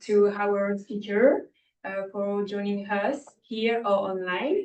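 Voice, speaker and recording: A woman with a French accent and a medium pitch. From France. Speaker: student trainee presenter. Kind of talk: briefing presentation.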